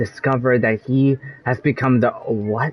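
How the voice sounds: At a medium pitch, a man is talking.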